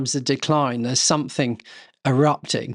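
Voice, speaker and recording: Speaking with an English accent, a man with a fairly high pitch talks at a fairly slow pace in a monotone, flat intonation, the sound dry and close with no echo over a quiet background. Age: 60s. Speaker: estate custodian. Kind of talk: casual chat. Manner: halting.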